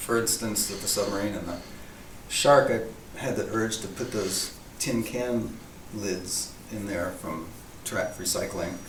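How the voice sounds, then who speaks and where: Soft-spoken and fairly low-pitched, a man talks at a fairly slow pace with an American accent, with noticeable background noise and audible room echo. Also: ordinary pitch variation. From US East Coast, near DC. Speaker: artist. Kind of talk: casual interview. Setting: art show venue.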